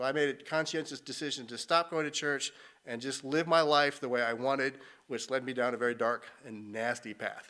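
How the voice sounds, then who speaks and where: In a General American accent, a man talks at a fairly quick pace with medium pitch, fairly even intonation and a bright, sharp tone on a very clean recording with a silent background. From Colorado. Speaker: missionary. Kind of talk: testimony.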